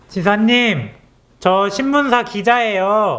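Noticeable background noise fills the clip. The voice belongs to a man. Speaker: newspaper political reporter. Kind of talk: interview questions to camera and interviewee.

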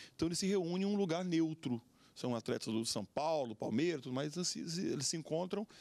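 Pitched high, a man speaks at a fairly quick pace with lively intonation. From Brazil, Acre. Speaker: pastor and lawyer. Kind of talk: TV panel discussion. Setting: TV studio. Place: studio. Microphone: handheld.

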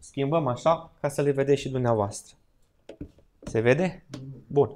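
A man at a moderate pace with ordinary pitch variation and light background noise. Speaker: church Bible study teacher. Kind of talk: Bible study lecture in church. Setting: church hall with live audience. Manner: interactive, asks audience questions. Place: hall. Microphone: podium.

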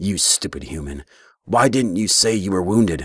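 A man puts on a character voice, speaking at a moderate pace in a fairly low pitch. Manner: brusque, scolding.

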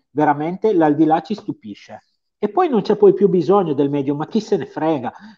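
A man speaks at a moderate pace with a Piedmontese accent. His pitch is high for a man, and the background is quiet. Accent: Piedmontese, sing-song. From Piedmont, Italy. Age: 50s. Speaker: medium; guest. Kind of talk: interview. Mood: earnest, emotional storytelling. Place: home room. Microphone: video call.

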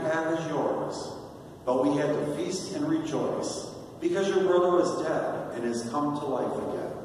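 There is strong room echo and light background noise. A man speaks with ordinary pitch variation. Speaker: deacon leading prayer. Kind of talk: liturgical prayer, leading intercessions and responses. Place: church.

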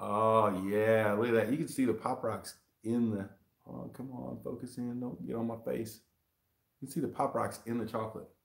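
Animated in tone, a man speaks at a medium pitch and a moderate pace, with audible room echo and a quiet background. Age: 40s. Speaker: YouTube hot sauce reviewer. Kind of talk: live stream unboxing chat. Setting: live video stream shot in selfie mode. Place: home room. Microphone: webcam.

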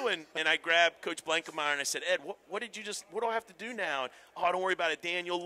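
A man talks at a very fast pace. His high-pitched voice has a bright, sharp tone. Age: 40s. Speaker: college baseball head coach. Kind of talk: casual interview. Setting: convention floor. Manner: animated. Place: hall. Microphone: headset.

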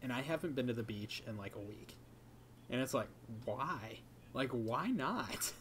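The speaker talks at a moderate pace with ordinary pitch variation. Light background noise can be heard. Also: man, medium pitch for a man. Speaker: YouTube video creator and podcast co-host; podcast co-host. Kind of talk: casual chat. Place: home room. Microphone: microphone plugged into laptop; earbuds.

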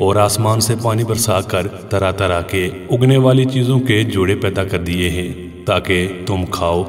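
Music plays in the background as a man speaks with a fairly low pitch and ordinary pitch variation. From Azad Kashmir, Pakistan. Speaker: voice-over artist. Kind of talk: Islamic story narration.

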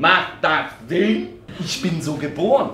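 Light background noise and audible room echo fill the recording. A man speaks at a very slow pace. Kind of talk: theatrical monologue, cabaret. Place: stage. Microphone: camera far.

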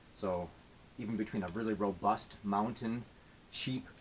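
A man speaks in a normal speaking voice, fairly low in pitch, with fairly even intonation. Light background noise is present. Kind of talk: tutorial. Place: workshop. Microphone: camera far.

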